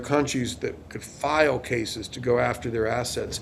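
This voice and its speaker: This man has an unremarkable speaking voice, medium in pitch with ordinary pitch variation, and he speaks at a moderate pace. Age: 60s. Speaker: lawyer. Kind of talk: interview.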